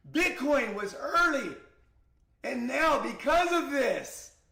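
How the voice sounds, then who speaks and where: A man at a very slow pace, with audible room echo. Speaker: crypto trading streamer. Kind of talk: live stream market analysis. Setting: live stream. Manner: loud, shouting; animated.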